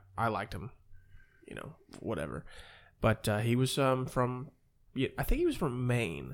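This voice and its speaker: With vocal fry and lively intonation, the voice moves at a moderate pace with long, frequent pauses and big swings in loudness, captured in a very clean recording with a silent background. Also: man, medium pitch for a man. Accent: American. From Ohio, US Midwest. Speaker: podcast host. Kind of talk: casual chat.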